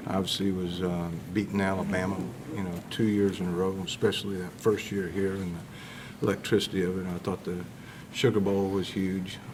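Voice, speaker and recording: A man with a very deep, low pitch and monotone, flat intonation, at a moderate pace amid audible room echo. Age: 60s. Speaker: college football defensive coach. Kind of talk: press conference. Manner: hesitant, many filler words.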